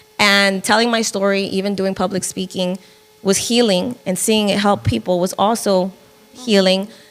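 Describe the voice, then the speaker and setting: Noticeable background noise sits behind a woman of medium pitch. She speaks at a moderate pace with fairly even intonation. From northern New Jersey. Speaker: film producer and podcaster. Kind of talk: interview conversation.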